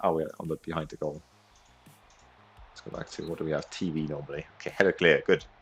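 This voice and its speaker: Music in the background, with a dry, close sound and no echo. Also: man. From Austria. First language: German. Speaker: video game streamer. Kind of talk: live gameplay commentary and chat. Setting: livestream. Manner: animated.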